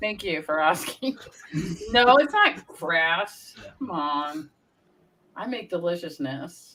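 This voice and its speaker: A woman speaks in an American accent with an animated tone. Her pitch swings very widely. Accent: Brooklyn accent, comes out at times. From Brooklyn, New York. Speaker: paranormal channel host. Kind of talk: casual chat.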